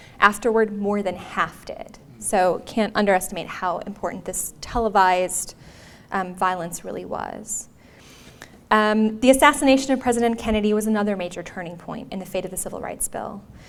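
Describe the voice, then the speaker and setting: In a room with audible echo, a woman with an American accent speaks at a moderate pace and medium pitch, using ordinary pitch variation and big swings in loudness. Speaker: history professor. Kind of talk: lecture. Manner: uses fillers like um and uh.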